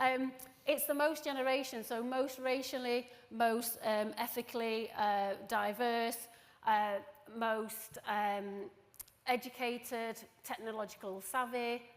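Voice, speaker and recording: A woman with a Yorkshire accent talks very slowly in a fairly high pitch, her intonation fairly even. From northern England. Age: 40s. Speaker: recruitment professional. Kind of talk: conference presentation. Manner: casual.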